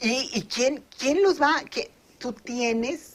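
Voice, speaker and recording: A woman speaking at a very slow pace. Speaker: pension expert. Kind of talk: interview. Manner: halting; animated.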